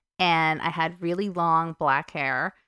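With a New Jersey accent, a woman speaks at a fairly low pitch and a fairly slow pace in a bright, sharp tone. The recording is very clean with a silent background and a dry, close sound with no echo. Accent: New Jersey American. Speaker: stripper. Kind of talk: casual chat.

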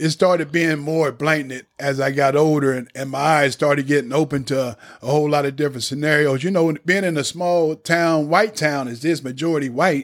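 With hardly any pauses, a man in a normal speaking voice talks at a fairly quick pace and a fairly high pitch, his intonation fairly even. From Lebanon, Ohio. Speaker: ex-offender, redemption speaker. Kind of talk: personal testimony. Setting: studio.

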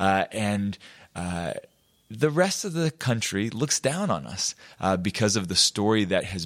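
A man with an American accent, lively intonation and a fairly slow pace, in a very clean recording with a silent background. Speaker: political candidate. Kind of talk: interview. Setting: in-person at host's loft. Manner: hesitant with many fillers.

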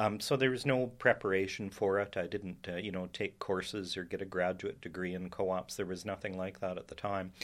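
Very deep, low male voice with a western Canadian accent, fairly even intonation and a fairly quick pace, on a very clean recording with a silent background. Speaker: professor and historian. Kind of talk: interview. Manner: measured, with fillers.

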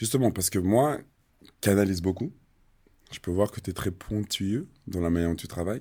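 Pausing long and often, a man with a fairly low voice speaks with ordinary pitch variation. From Switzerland. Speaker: podcast host, former footballer. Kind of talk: casual interview.

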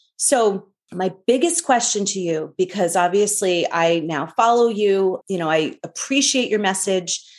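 With an American accent, a woman talks at medium pitch and a fairly slow pace. Her intonation is lively, with hardly any pauses. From US Northeast (New York). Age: 40s. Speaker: podcast host. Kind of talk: interview podcast.

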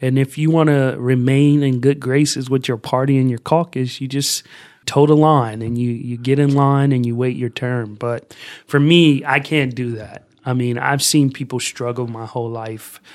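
In an American accent, a man uses an ordinary speaking voice with fairly even intonation at a moderate pace, in a very clean recording with a silent background. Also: medium pitch for a man. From US Midwest, Columbus, Ohio. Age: 20s. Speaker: youth outreach coordinator, former political candidate. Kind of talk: podcast interview.

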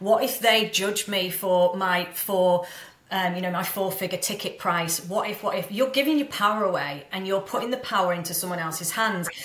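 A woman with a confident tone speaks at a moderate pace and medium pitch, with ordinary pitch variation and noticeable background noise. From Manchester, northern England. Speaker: mindset coach and business mentor. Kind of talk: casual interview chat. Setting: remote call. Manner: confident, powerful.

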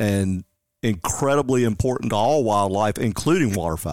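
Here a man with a Tennessee accent uses lively intonation. The recording is very clean, with a silent background. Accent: US Southern (Tennessee). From West Tennessee (Jackson). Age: 50s. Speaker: conservation outreach coordinator. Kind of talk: casual interview.

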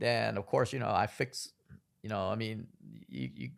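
On a very clean recording with a silent background, a man speaks at a moderate pace and medium pitch, his lively intonation touched with vocal fry. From Vietnamese heritage. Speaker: pediatric surgeon podcast host. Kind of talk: casual educational monologue.

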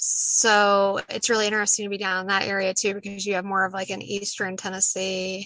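With an American accent, a woman speaks at a medium pitch and a fairly quick pace, in a bright, sharp tone with hardly any pauses. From Southwest Virginia, Appalachia. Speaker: poet and Appalachian native. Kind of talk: casual interview conversation. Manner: more animated when excited.

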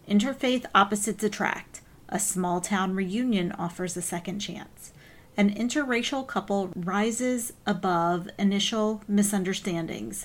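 A woman speaks at a fairly slow pace in an ordinary speaking voice, her pitch medium with ordinary variation. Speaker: podcast host and author. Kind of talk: casual chat.

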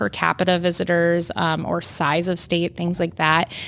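A woman with an American accent and a fairly low pitch, at a fairly slow pace, on a very clean recording with a silent background. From Minnesota. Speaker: state tourism agency head. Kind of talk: interview. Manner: animated.

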